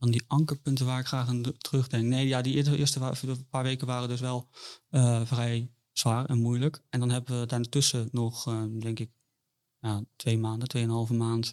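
This man talks at a moderate pace in a medium pitch. His intonation is monotone and flat. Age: 20s. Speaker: bereaved father. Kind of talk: personal testimony in interview. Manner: halting, many repetitions and fillers.

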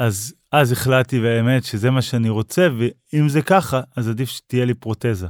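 A man's unremarkable speaking voice at medium pitch, moderate pace and ordinary pitch variation, hardly any pauses, dry and close with no echo, in a very clean recording with a silent background. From northern Israel, Upper Galilee. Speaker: motivational speaker and amputee marathon runner. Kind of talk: interview telling personal story.

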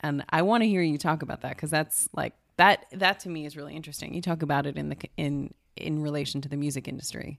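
A woman's very deep, low voice at a very fast pace, with big swings in loudness, in a very clean recording with a silent background. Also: ordinary pitch variation. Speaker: podcast co-host. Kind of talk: casual chat.

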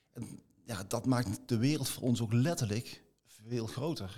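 A man's dark, mellow tone at a fairly slow pace with fairly even intonation. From Limburg, Netherlands (near Venlo). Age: 50s. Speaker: business executive. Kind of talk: interview.

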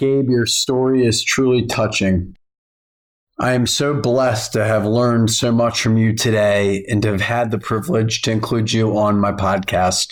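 A normal speaking voice moves at a moderate pace, its intonation fairly even. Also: man, medium pitch for a man. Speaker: podcast host. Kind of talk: interview. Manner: formal.

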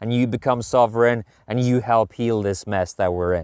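A man speaks in a Norwegian accent at a fairly low pitch with ordinary pitch variation. The sound is dry and close with no echo, on a very clean recording with a silent background. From Norway. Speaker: podcast host, men's coach. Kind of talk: walking monologue. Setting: outdoors.

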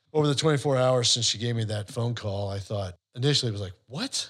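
A very clean recording with a silent background captures a man whose pitch varies in an ordinary way. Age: 60s. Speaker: financial advisor and podcast co-host. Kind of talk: casual chat. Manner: animated.

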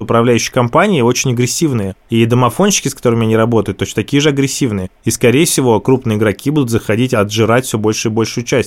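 A man speaks very fast at a medium pitch, with ordinary pitch variation, very even loudness and hardly any pauses. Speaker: investor. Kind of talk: panel critique.

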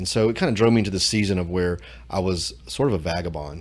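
In a room with audible echo, a man talks at a very fast pace in a very deep, low pitch with ordinary pitch variation. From Louisiana. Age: 40s. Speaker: church member. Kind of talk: personal testimony. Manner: halting, repeats words.

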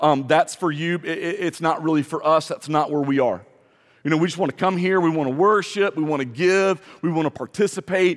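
At a fairly quick pace, a man talks in a plain, everyday voice, fairly high in pitch, with ordinary pitch variation. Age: 40s. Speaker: pastor. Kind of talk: sermon. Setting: church.

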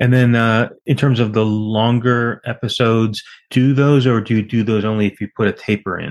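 In a normal speaking voice, a man talks at a moderate pace with fairly even intonation. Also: medium pitch for a man, quiet background. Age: 50s. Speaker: podcast host, infectious disease physician. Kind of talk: interview.

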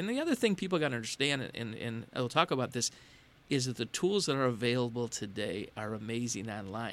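In an ordinary speaking voice, a man talks at a fairly quick pace with a medium pitch and lively intonation. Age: 60s. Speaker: podcast network co-founder. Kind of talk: interview.

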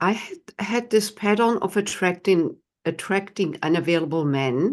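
A woman's medium-pitched voice with a German accent, a fairly slow pace and very wide pitch swings. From Germany. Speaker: tantra teacher and author. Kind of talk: interview.

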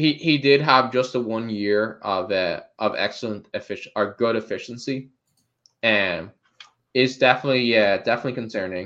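In an Irish accent, a man speaks at a moderate pace with a medium pitch and ordinary pitch variation. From Ireland. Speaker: fantasy football podcast co-host. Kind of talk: casual chat. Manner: halting, many fillers and restarts.

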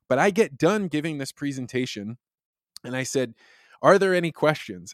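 In a very clean recording with a silent background and a dry, close sound with no echo, a man with an American accent talks at a fairly quick pace with a fairly high pitch and lively intonation. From US Midwest, central Illinois. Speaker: science communicator, former corporate communications director. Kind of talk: interview conversation.

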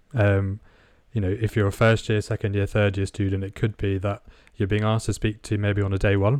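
Against a quiet background, a man with a British accent talks at a fairly quick pace and a fairly low pitch. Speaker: podcast co-host and radiographer. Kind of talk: interview.

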